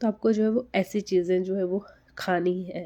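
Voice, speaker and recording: A soft-spoken woman talks at medium pitch in a dark, mellow tone. Her intonation is fairly even, and the background is quiet. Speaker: TB survivor content creator. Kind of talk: live stream Q&A advice talk. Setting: live session. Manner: slow, speaking softly.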